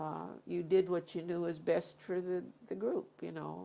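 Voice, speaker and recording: Speaking very slowly, the woman has an American accent. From US Pacific Northwest, Seattle. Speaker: oral history interviewee. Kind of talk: interview. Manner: halting.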